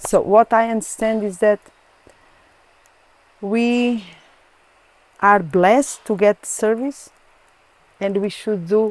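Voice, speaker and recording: A woman speaks in a Portuguese accent at a fairly slow pace. Her sound is dry and close, with no echo. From Portugal. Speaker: Krishna devotee. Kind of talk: interview answer.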